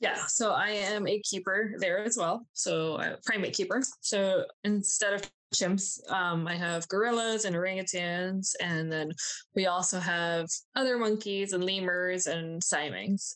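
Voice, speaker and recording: A plain, everyday voice: a woman with an American accent, medium pitch, fairly even intonation, very even loudness and a fairly slow pace. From Miami, Florida and New Jersey, US. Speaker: zookeeper. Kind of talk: interview. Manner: casual.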